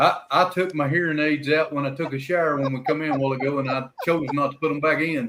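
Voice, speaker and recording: A man with a Southern US accent talks at a very fast pace in a fairly high voice with fairly even intonation. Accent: US South. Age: old. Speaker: livestream host of open mic panel. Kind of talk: casual chat. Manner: loud.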